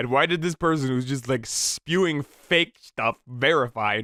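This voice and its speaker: A man with an ordinary speaking voice and a fairly high pitch talks fairly slowly with ordinary pitch variation, in a dry, close sound with no echo on a very clean recording with a silent background. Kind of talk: reddit post reading with casual commentary. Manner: casual, humorous, profane.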